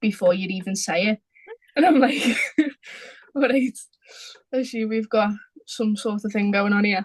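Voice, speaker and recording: Somewhat breathy, a woman with a Liverpool accent speaks at a moderate pace and fairly high pitch with ordinary pitch variation and long, frequent pauses, in a dry, close sound with no echo. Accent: Liverpool (Scouse), noticeable. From Liverpool, England. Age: 20s. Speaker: small business owner, football artist. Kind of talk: casual chat.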